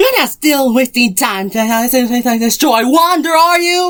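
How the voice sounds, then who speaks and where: A high-pitched, put-on character voice. It speaks at a moderate pace. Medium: fan dub. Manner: exasperated, bossy.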